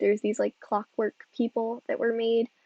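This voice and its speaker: A woman speaks at a fairly quick pace. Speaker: game streamer. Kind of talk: live gameplay stream commentary. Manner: casual, many fillers.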